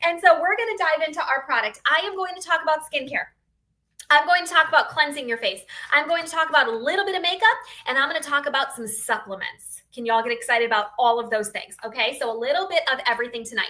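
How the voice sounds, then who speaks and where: A woman's high, bright, sharp voice in an American accent, raised and projected, very fast with very wide pitch swings. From northeastern Pennsylvania, near Scranton. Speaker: beauty sales consultant. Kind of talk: sales pitch on a livestream. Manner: animated.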